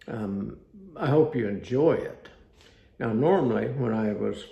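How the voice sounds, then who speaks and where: Amid audible room echo, a man with a fairly low pitch and a dark, mellow tone speaks fairly slowly with vocal fry. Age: 80s+. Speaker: author reading his own book. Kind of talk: reading aloud. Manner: halting.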